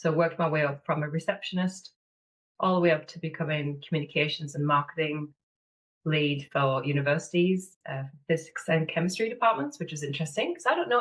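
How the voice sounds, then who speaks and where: Her pitch is fairly low, and she talks at a fairly quick pace. The woman's voice is somewhat breathy. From northeast England, Sunderland. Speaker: business manager and mentor. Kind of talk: podcast interview.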